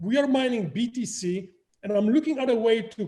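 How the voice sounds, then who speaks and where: A man with a Polish accent, high-pitched with a dark, mellow tone, lively intonation and a moderate pace. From Poland. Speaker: crypto project founder. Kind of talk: interview.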